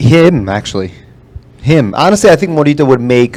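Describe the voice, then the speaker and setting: A man talks at a very fast pace. He has a New Jersey accent. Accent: New Jersey American. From New Jersey, Kearny/Newark Portuguese community. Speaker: podcast guest and rancho dancer. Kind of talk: casual chat. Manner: fast, with frequent fillers and restarts.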